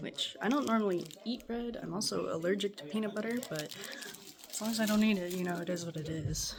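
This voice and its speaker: At a quiet volume, a woman with a medium pitch talks at a fairly quick pace with lively intonation over noticeable background noise. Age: 20s. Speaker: college student. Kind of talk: casual talk to camera. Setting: home kitchen, background noise.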